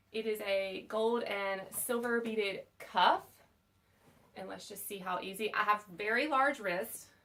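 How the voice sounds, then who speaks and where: A woman with a Southern US accent, fairly high in pitch, bright and sharp in tone, at a fairly slow pace with ordinary pitch variation. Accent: Southern American. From US South. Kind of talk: unboxing video. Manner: casual, chatty.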